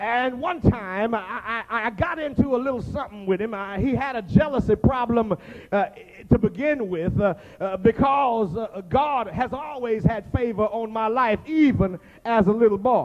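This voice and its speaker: A man's extremely high-pitched voice at a moderate pace. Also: ordinary pitch variation. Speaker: pastor. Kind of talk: sermon.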